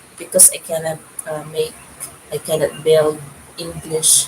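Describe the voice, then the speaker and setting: Background noise is noticeable throughout. A woman's voice sits over it. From Philippines. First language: Filipino language (Tagalog/Cebuano). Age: 50s. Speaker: YouTube vlogger. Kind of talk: casual livestream chat. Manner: halting.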